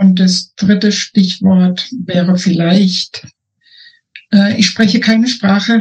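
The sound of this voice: With a slightly mellow tone and a slightly husky edge, a woman speaks at a very slow pace in a medium-pitched voice with fairly even intonation.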